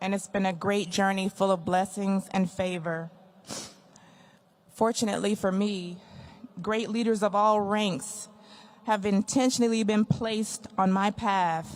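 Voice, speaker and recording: In an American accent, a woman with a medium-pitched voice talks at a fairly slow pace, her intonation fairly even, her loudness very even, and her speech broken by long, frequent pauses. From Texas, Wichita Falls. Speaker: retiring air force chief master sergeant. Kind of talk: retirement speech. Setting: ceremony with audience.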